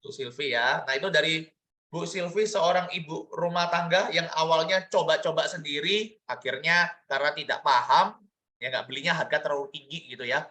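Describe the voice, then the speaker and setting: High-pitched male voice, bright and sharp in tone. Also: ordinary pitch variation, moderate pace. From Indonesia, Surabaya (East Java). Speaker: business opportunity presenter. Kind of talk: online sales presentation. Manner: animated.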